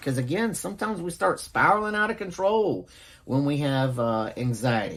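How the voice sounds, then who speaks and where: A Southern US accent at a moderate pace, on a very clean recording with a silent background. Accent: Southern twang. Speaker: nursing instructor. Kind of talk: lecture. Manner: casual, halting with fillers.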